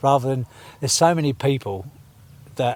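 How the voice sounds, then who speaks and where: With ordinary pitch variation and a moderate pace, the speaker sounds somewhat breathy. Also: man. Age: 60s. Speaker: percussionist and party promoter. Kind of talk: podcast interview. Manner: animated.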